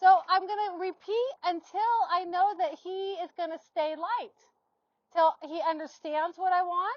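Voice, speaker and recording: Loud and at an extremely high pitch, a woman speaks at a fairly slow pace. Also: ordinary pitch variation. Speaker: horse trainer. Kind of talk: demonstration.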